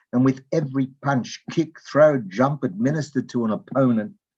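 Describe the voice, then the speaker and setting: At a moderate pace, the voice carries an Australian accent. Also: man. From Australia, Melbourne. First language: Yiddish. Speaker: open mic participant. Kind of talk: reading a personal memoir piece.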